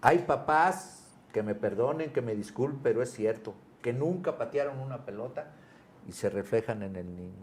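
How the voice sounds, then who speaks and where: A man talks at a medium pitch and a moderate pace. His voice is somewhat breathy, with lively intonation. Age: 70s. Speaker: retired footballer. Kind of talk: interview. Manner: animated.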